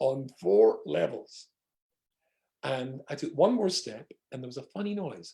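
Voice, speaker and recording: A man speaks fairly slowly in a Scottish accent. His loudness swings a lot. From Scotland. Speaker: rabbi. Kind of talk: humorous storytelling in an online talk. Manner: humorous.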